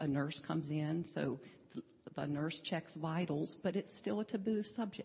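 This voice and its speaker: A woman speaks at a fairly slow pace with a very deep, low pitch and vocal fry. Her intonation is lively while her loudness stays very even. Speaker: hospice volunteer.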